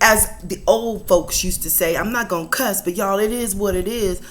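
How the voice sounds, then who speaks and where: An animated tone at a moderate pace, with audible room echo and noticeable background noise. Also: woman. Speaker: inspirational vlogger. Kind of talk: casual inspirational talk. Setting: at home, kitchen table.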